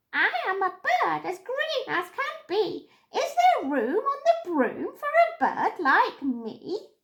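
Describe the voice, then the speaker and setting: In a put-on character voice, the speaker talks at a fairly slow pace with an extremely high, squeaky pitch and very wide pitch swings. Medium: read story.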